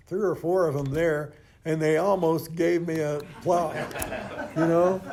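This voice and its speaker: Audible room echo around a man with a fairly high pitch, a dark, mellow tone, a fairly slow pace and fairly even intonation. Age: 80s+. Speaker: AA speaker sharing recovery story. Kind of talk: testimony. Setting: stage with audience. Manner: halting, frequent repetitions.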